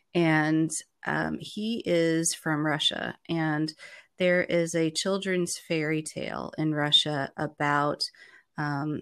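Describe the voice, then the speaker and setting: A woman with an American accent speaks in a very deep, low pitch. Her intonation is fairly even, and the recording is very clean with a silent background. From United States. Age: 50s. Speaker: business consultant and coach. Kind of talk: casual chat. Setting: call from her home office.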